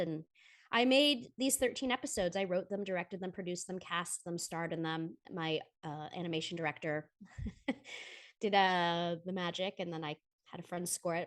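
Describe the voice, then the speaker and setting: In a plain, everyday voice, a woman with an American accent speaks at a moderate pace in a fairly low pitch with ordinary pitch variation, against a quiet background. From United States, lives in Atlanta. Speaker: voiceover actress, writer, producer, comedic musician. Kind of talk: podcast interview answer. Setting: video call with travel microphone. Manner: talkative, upbeat, casual.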